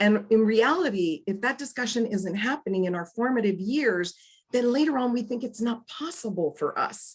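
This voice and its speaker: A woman's fairly high, somewhat breathy voice, animated in tone, with lively intonation. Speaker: financial coach and speaker. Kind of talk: motivational talk. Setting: video call. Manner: fast.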